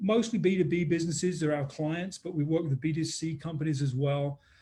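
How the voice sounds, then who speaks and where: A man with a dark, mellow tone and a fairly high pitch speaks at a moderate pace with ordinary pitch variation. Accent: American. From England, London. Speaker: business consultant. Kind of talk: webinar interview.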